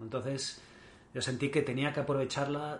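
There is audible room echo around a man whose voice is somewhat breathy. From Mallorca, Spain. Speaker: endurance triathlete. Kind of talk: interview. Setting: in the host's home.

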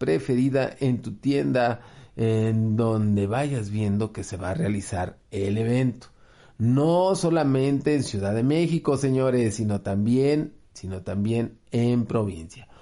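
A man with a Mexican accent talks at a very slow pace in a dark, mellow tone, his pitch medium. His intonation is lively, and the background is quiet. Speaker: game store promoter. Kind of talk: event announcement.

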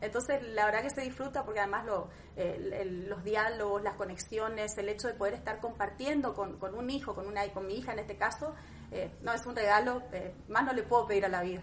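With a plain, everyday voice, a woman talks at a fairly quick pace, her fairly high pitch showing ordinary variation. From Argentina, Misiones province. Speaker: aesthetic medicine doctor. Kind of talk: interview. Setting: her home consulting room.

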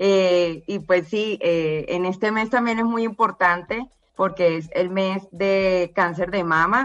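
A woman speaks at a medium pitch with fairly even intonation. Her pace is very slow. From Colombia, Barranquilla. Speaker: cancer survivor. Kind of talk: testimony.

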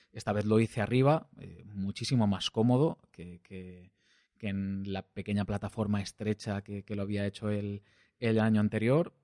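A man with a Valencian accent talks at a moderate pace in a fairly low, dark, mellow voice with fairly even intonation and big swings in loudness, recorded dry and close with no echo over a quiet background. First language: Valencian (speaking Spanish). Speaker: podcast host, hiker. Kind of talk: solo travel narration. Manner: hesitant, many fillers and repetitions.

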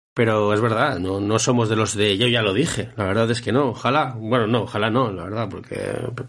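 A man with a medium-pitched voice speaks at a fairly quick pace with fairly even intonation, and audible room echo. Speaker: football podcast host. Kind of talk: casual chat.

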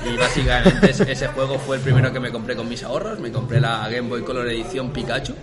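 Over music in the background and audible room echo, a man talks at a very fast pace. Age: 20s. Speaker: videogame podcast co-host. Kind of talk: casual chat.

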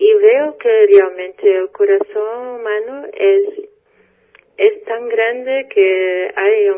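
This is a woman speaking. She has a Portuguese accent. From Portugal. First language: Portuguese (speaking Spanish). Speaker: spiritual guest. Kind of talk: radio interview. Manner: halting.

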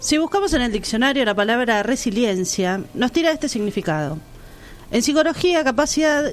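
High-pitched woman's voice with lively intonation at a moderate pace. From Argentina, La Plata. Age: 30s. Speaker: radio co-host. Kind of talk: scripted narration; casual chat.

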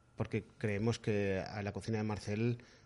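A man's voice has a dark, mellow tone and monotone, flat intonation. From Madrid, Spain. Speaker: sommelier. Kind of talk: casual interview.

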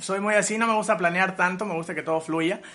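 Bright and sharp in tone, this voice shows ordinary pitch variation. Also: man. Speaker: musician. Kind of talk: interview.

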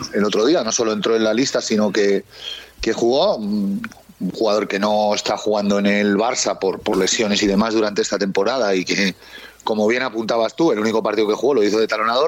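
A man's fairly low voice at a fairly quick pace, fairly even in intonation and very even in loudness, over noticeable background noise. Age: 40s. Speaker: rugby commentator. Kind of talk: casual chat.

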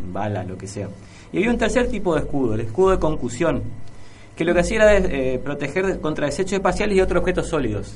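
A man at a fairly high pitch and very fast pace, with very wide pitch swings, amid noticeable background noise and audible room echo. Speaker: radio co-host. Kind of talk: radio show.

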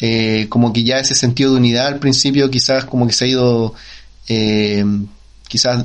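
A man's medium-pitched, monotone, flat delivery at a moderate pace, in a Chilean accent. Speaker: podcast co-host. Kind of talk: casual interview. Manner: halting.

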